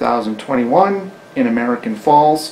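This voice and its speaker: With noticeable background noise behind him, a man of fairly high pitch talks at a fairly slow pace, his intonation lively. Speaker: oral history interviewer. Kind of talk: interview questions.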